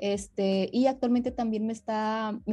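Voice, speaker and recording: Over a quiet background, a woman speaks at a fairly high pitch with a dark, mellow tone, somewhat breathy, in a monotone, flat intonation. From northern Mexico (Monterrey, Nuevo León). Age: 20s. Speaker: amputee and psychologist. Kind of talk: interview, personal testimony.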